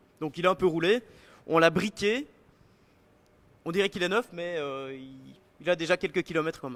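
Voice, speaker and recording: A high-pitched male voice with a Belgian accent at a moderate pace, with long, frequent pauses and big swings in loudness, in a very clean, dry, close recording with a silent background and no echo. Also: ordinary pitch variation. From Belgium. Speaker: bike product designer. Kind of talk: live product presentation. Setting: live stream at design centre. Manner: hesitant, many fillers.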